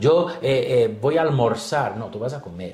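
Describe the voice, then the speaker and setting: Speaking with a Brazilian accent, a man talks at a very slow pace. His fairly high voice carries audible room echo. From Brazil, São Paulo. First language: Portuguese (speaking Spanish). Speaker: pastor and missionary. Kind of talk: interview. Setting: studio.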